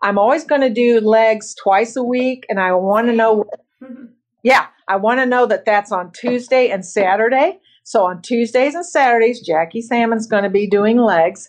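A woman's unremarkable speaking voice, pitched fairly high, its pitch varying in an ordinary way. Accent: American. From Bloomington, Indiana. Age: 60s. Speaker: masters bodybuilder and office professional. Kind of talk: casual interview.

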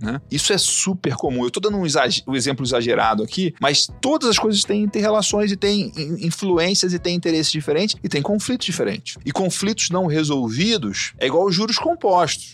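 Noticeable background noise sits behind a man with a high pitch. He talks at a fairly quick pace with very wide pitch swings and hardly any pauses. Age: 40s. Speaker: agribusiness entrepreneur. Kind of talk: podcast interview.

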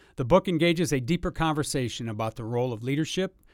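In a very clean recording with a silent background, a man with an ordinary speaking voice talks at a fairly quick pace, at a medium pitch with ordinary pitch variation. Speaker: podcast host. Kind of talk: casual interview.

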